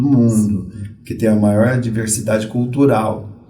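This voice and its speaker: Audible room echo surrounds a man's voice. He speaks at a moderate pace with fairly even intonation. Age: 60s. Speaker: Umbanda priest. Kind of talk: podcast interview.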